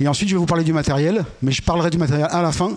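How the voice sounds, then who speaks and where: A man is speaking. He talks at a very fast pace. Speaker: conference speaker on radio technology. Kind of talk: lecture.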